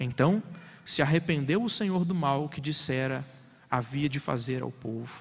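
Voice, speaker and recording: Somewhat breathy, a man speaks fairly slowly at a fairly high pitch with ordinary pitch variation. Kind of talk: sermon. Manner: formal, earnest preaching that explains the text and urges the congregation.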